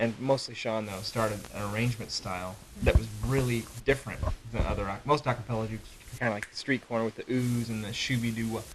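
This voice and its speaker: A man talks at a very fast pace with fairly even intonation. Noticeable background noise sits behind him. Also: medium pitch for a man. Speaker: a cappella singer. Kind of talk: interview. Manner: halting.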